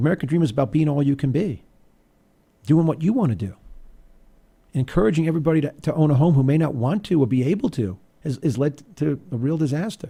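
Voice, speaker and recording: A man with a dark, mellow tone and fairly high pitch speaks at a very fast pace, somewhat breathy, with lively intonation. His speech has long, frequent pauses. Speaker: radio talk show host. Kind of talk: political talk radio monologue.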